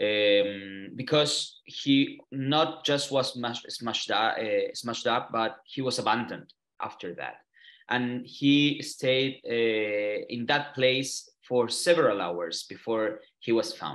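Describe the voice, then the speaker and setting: A man with a Chilean Spanish accent speaks at a very slow pace. His pitch sits in the medium range. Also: ordinary pitch variation. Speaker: human rights lawyer and activist. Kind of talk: online interview. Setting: video call from a hotel room. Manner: halting, many fillers and repeats.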